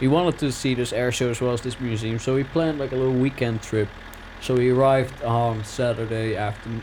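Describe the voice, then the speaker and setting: Fairly quick and fairly even in intonation, a man with a Dutch accent speaks at medium pitch over noticeable background noise. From Netherlands. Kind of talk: casual gaming commentary.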